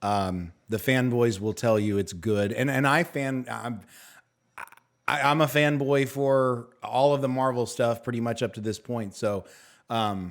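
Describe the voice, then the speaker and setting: In a very clean recording with a silent background, a man of medium pitch talks at a fairly slow pace with ordinary pitch variation. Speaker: online review show host. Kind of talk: panel discussion review. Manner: animated.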